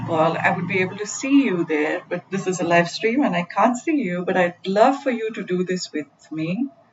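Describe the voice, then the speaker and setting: With an ordinary speaking voice, a woman talks at a moderate pace and medium pitch with lively intonation. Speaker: mindfulness coach. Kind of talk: guided meditation. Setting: live stream.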